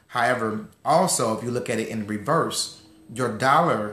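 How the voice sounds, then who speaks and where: Audible room echo surrounds a man's voice. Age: 30s. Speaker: financial educator. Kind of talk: online class. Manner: fast.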